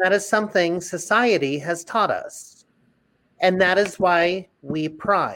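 The speaker is a woman with fairly even intonation. She goes at a very slow pace. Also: medium pitch for a woman. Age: 30s. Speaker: Broadway actor. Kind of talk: casual chat.

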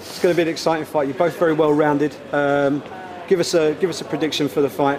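A man's fairly high voice at a very fast pace, monotone and flat in intonation, over noticeable background noise. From England. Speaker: sports journalist. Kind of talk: media day interview.

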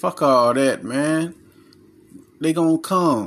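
At a fairly slow pace, a man speaks in an animated tone. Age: 30s. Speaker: self-help podcaster and author. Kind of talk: casual monologue.

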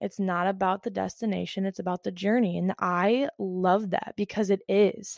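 In a dry, close sound with no echo and a quiet background, a woman of medium pitch speaks at a moderate pace with fairly even intonation. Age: 20s. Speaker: podcast host. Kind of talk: casual solo monologue. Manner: hesitant, many fillers; frequent laughter.

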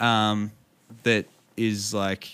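Over a silent background in a very clean recording, a man speaks in an Australian accent with a bright, sharp tone. His pitch is fairly low and his intonation is monotone and flat. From Victoria, Australia. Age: 30s. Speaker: streamer and musician. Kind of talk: interview. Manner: halting.

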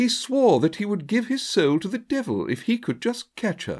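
Speech moves at a moderate pace. The background is silent, making for a very clean recording. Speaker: audiobook narrator. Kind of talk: literary audiobook reading, voicing characters.

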